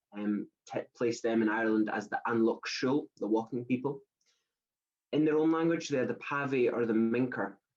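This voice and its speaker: Moderate pace from a man with a Scottish accent, medium pitch, and ordinary pitch variation. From Scotland. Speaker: traveller activist and campaigner. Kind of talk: presentation talk. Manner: hesitant with fillers.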